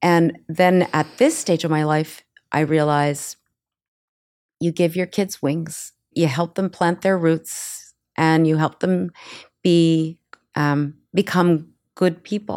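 Very slowly and in a flat monotone, a woman with a fairly low voice speaks, leaving long, frequent pauses. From Canada, partly raised in the US. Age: 60s. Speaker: social media creator. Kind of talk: interview conversation.

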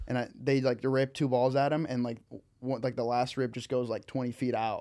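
A man talks at a moderate pace in a medium pitch. The recording is very clean, with a silent background. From Peru. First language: Spanish. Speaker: pickleball player and podcast guest. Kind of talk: casual banter. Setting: studio.

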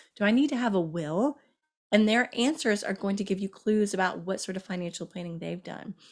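Fairly quick speech from a woman with ordinary pitch variation, with music in the background. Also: medium pitch for a woman. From Kentucky. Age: 40s. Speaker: journalist and author. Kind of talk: interview.

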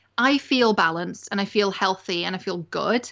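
This woman has an English accent and a medium pitch. She talks at a moderate pace. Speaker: media strategist and life coach. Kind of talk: interview. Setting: home recording on a sofa.

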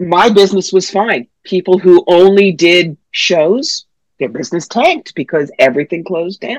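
At a moderate pace, a woman with an unremarkable speaking voice and medium pitch talks with lively intonation in a dry, close sound with no echo. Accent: American. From New York. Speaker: psychic medium. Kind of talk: interview.

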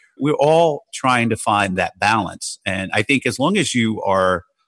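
A man talks at a moderate pace in a normal speaking voice with lively intonation. The sound is dry and close with no echo, over a quiet background. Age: 50s. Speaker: hedge fund trader and author. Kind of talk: casual interview.

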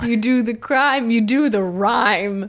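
A shaky, female-sounding put-on character voice, fairly high in pitch, moves at a fairly slow pace over light background noise. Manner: trembling, in character.

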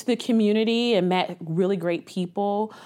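A woman with a Midwestern American accent talks at a fairly quick pace in a medium pitch. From Columbus, Ohio. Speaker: nonprofit executive director. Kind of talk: interview.

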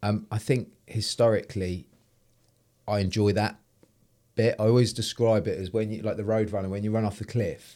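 A man's dark, mellow, fairly low-pitched voice, monotone and flat, at a moderate pace with long, frequent pauses, on a very clean recording with a silent background. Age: 40s. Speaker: entrepreneur. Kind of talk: interview.

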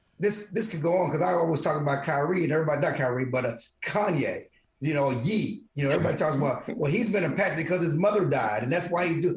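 Talking at a very fast pace with an American accent, a man uses lively intonation and fairly high pitch, and audible room echo can be heard. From small-town Texas. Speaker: sports columnist. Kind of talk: casual sports discussion. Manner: halting, repeats words.

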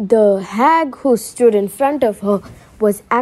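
Someone reads aloud naturally. Their pitch shifts by ordinary amounts.

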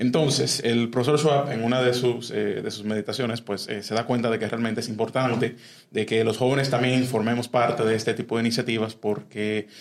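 A man with a medium pitch talks at a fairly quick pace over noticeable background noise. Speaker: youth civic organization member. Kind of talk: interview. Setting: studio. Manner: halting, many fillers.

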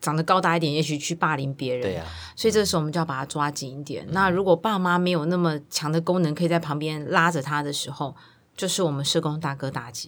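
A woman with a very deep, low pitch at a very fast pace, in a very clean recording with a silent background. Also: ordinary pitch variation. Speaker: children's service center director. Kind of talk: interview.

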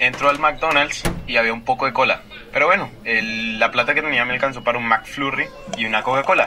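Noticeable background noise runs through the clip. The talking moves fairly quickly. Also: man, medium pitch for a man, ordinary pitch variation. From Colombia. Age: 20s. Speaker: student. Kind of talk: storytelling interview.

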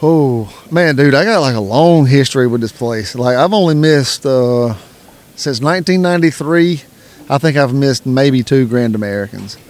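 Fairly slow in pace, a man speaks with a Southern US accent. His pitch is fairly high. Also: lively intonation. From South Carolina. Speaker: coon hunter and podcaster. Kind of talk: casual interview. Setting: event venue.

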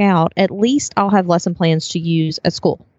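With a plain, everyday voice, a woman speaks at a moderate pace and a fairly low pitch. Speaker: entrepreneur, former school teacher. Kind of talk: casual interview chat. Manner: laughs often, friendly.

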